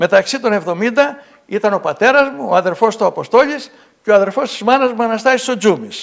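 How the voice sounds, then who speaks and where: Against a quiet background, a man with a high pitch talks at a moderate pace. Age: 70s. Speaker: local author; guest. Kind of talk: TV interview. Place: studio. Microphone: lapel.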